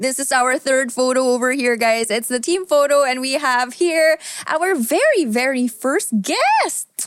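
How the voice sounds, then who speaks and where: Over noticeable background noise, a woman with a high voice and ordinary pitch variation talks at a fairly slow pace with hardly any pauses and very even loudness. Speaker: podcast co-host. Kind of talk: casual chat.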